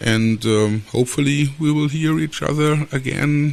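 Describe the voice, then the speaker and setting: Speaking at a moderate pace with a German accent, a man keeps a fairly high pitch and fairly even intonation. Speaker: aquascaping podcaster. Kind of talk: solo podcast talk. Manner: halting, many fillers.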